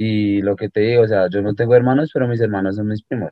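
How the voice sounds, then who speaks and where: A man's normal speaking voice, fairly low in pitch, with fairly even intonation. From Colombia, Bogotá. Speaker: musician. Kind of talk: casual interview.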